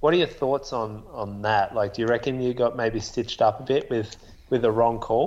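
Fairly even intonation marks this voice, delivered with an Australian accent. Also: man, medium pitch for a man, moderate pace. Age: 30s. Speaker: podcast co-host and runner. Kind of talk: casual chat.

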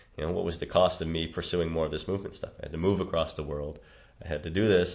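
The speaker has a Chicago accent and talks at a very fast pace. The intonation is monotone and flat. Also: man. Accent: Chicago American. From US Midwest, Chicago. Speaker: movement coach. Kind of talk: casual interview.

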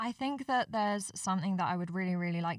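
At a fairly quick pace, a woman speaks in an unremarkable speaking voice of medium pitch with ordinary pitch variation. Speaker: volunteer coordinator. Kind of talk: casual chat.

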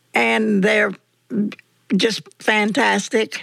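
A woman at medium pitch speaks with lively intonation in a Southern US accent. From US South. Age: 80s+. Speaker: church member telling life story. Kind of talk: casual interview. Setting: at home, in living room. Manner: cheerful, laughs often.

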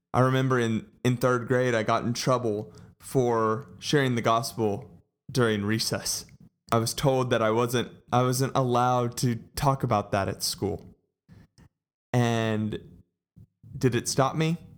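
A man at a medium pitch and a fairly slow pace, with fairly even intonation and long, frequent pauses, in a very clean recording with a silent background. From Texas, Colleyville. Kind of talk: personal testimony. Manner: casual, warm.

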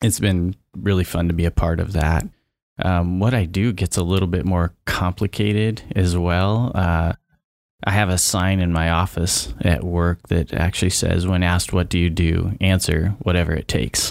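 Very deep and low in pitch, a man speaks with an American accent at a moderate pace. His intonation is fairly even and his loudness very even, in a very clean recording with a silent background. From eastern Oregon, near Idaho border. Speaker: county administrative services director. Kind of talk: casual chat. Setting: studio.

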